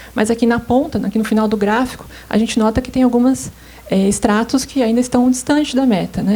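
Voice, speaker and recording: Soft-spoken and fairly high-pitched, a woman talks with fairly even intonation amid noticeable background noise. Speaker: government statistics coordinator. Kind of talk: conference presentation. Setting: seminar stage with audience. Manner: hesitant, many filler sounds.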